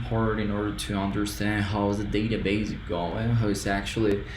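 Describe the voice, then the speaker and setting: A man with a fairly low pitch is speaking. There's noticeable background noise and audible room echo. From Colombia. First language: Spanish. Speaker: student. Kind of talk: tutorial. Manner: halting.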